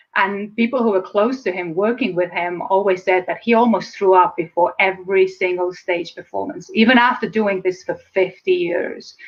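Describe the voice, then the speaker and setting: A woman with an Estonian accent at a fairly quick pace, hardly any pauses and ordinary pitch variation. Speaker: speaker and public speaking coach. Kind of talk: interview. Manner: fast.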